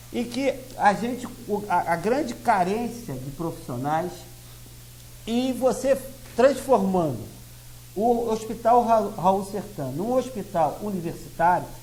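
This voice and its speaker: A man with a high voice speaks with lively intonation and long, frequent pauses. Room echo is audible. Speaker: lawyer and party president. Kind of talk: TV interview.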